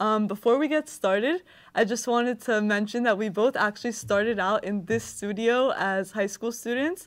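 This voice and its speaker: A plain, everyday voice from a woman, fairly high in pitch, with ordinary pitch variation, a moderate pace, and a very clean recording over a silent background. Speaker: podcast interviewer. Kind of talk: interview host talk.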